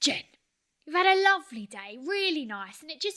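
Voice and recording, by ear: In a natural voice, someone reads aloud with a quiet background.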